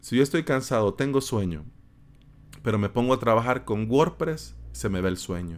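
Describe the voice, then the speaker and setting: In a Salvadoran accent, a man speaks at a fairly low pitch and a moderate pace with lively intonation. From El Salvador, San Salvador. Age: 30s. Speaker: podcast host, web developer. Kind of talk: solo podcast monologue. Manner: casual, conversational with fillers.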